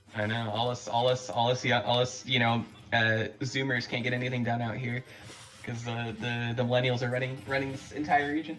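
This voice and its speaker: Recorded with noticeable background noise and audible room echo, a man with an American accent talks at a fairly quick pace in a medium pitch, his intonation monotone and flat. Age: 20s. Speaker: esports commentator. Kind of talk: live commentary. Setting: live stream. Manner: halting, repeats words.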